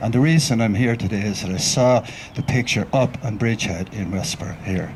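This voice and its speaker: In an Irish accent, a man talks at a fairly quick pace and a fairly low pitch with ordinary variation. Noticeable background noise runs behind him. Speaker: writer and researcher, mourner speaking at a memorial. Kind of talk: memorial tribute speech.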